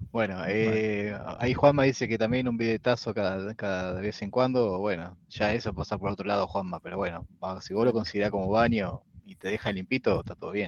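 A man with an ordinary speaking voice talks at a fairly quick pace, with fairly low pitch and fairly even intonation. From Pergamino, interior of Buenos Aires province, Argentina. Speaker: podcast co-host, woodworker. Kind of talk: casual chat. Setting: live stream.

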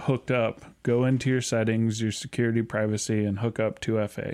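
A man's medium-pitched voice, monotone and flat in intonation, at a fairly quick pace. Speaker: podcast co-host. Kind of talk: casual chat.

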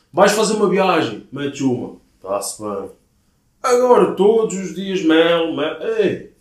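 With a European Portuguese accent, a man with a high pitch talks at a fairly slow pace with lively intonation, and audible room echo surrounds his voice. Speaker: podcast co-host. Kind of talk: casual chat.

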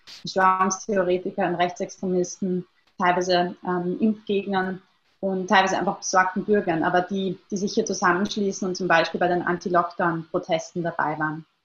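A woman speaks at a moderate pace in a monotone, flat intonation. Her voice is somewhat breathy. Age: 20s. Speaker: researcher on online extremism. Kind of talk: interview. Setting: video call. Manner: hesitant, many fillers.

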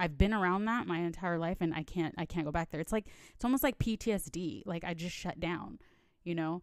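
A woman with a plain, everyday voice speaks at a fairly quick pace, fairly low in pitch with ordinary pitch variation, on a very clean recording with a silent background. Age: 30s. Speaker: podcast host. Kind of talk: personal monologue. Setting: home recording. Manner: casual, lots of fillers.

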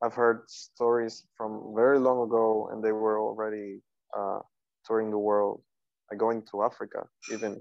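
Speaking with a Spanish accent at a moderate pace, a man of medium pitch keeps a monotone, flat intonation. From Cuba, Havana. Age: 20s. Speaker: contemporary dancer. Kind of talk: interview.

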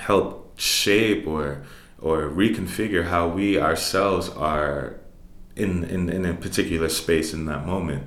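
Someone with a New York accent talks at a fairly slow pace with ordinary pitch variation, and audible room echo can be heard. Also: man. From New York City (Harlem and the Bronx). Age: 30s. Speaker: jazz musician and professor. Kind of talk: interview. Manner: halting.

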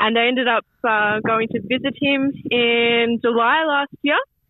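In an Australian accent, a woman speaks with a fairly high pitch. Her pitch variation is ordinary. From Australia, Melbourne, Yarra Ranges of Victoria. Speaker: football coach. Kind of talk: radio interview. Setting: phone call. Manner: halting.

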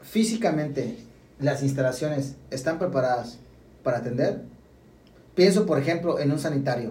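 A man speaks in a somewhat breathy, dark, mellow tone with lively intonation at a moderate pace. Long, frequent pauses break up his speech, and there is audible room echo. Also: fairly high pitch for a man. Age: 30s. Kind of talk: casual chat.

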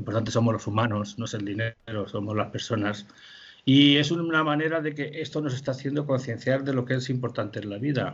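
Speaking at a fairly quick pace, a man with a medium pitch sounds somewhat breathy, and his pitch varies in an ordinary way. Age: 60s. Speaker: puppet festival director. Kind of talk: interview. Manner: halting.

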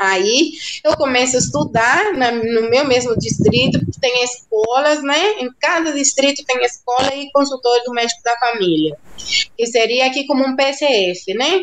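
Over noticeable background noise, a woman with a Cuban accent talks fairly slowly in a high pitch with lively intonation. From central rural Cuba. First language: Spanish (speaking Portuguese). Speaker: doctor. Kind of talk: interview.

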